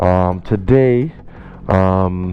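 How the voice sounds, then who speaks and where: Music behind a male speaker whose pitch varies in an ordinary way. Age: 20s. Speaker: motorcycle vlogger. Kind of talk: casual vlog talk. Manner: hesitant, many fillers.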